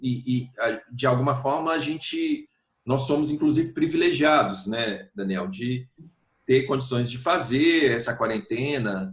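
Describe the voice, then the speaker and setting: A man speaks at a fairly slow pace in a somewhat breathy voice. His pitch is medium, with ordinary pitch variation. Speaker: singer-songwriter. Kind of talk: interview answer.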